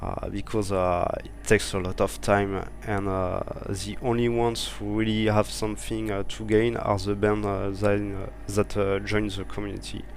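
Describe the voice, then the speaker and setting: A man with a French accent at a moderate pace, with audible room echo and noticeable background noise. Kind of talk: interview. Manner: halting, many fillers.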